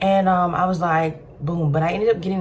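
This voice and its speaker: A woman talks at a fairly quick pace. Background noise is noticeable throughout. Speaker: storytime vlogger. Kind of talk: personal storytelling monologue. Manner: fast.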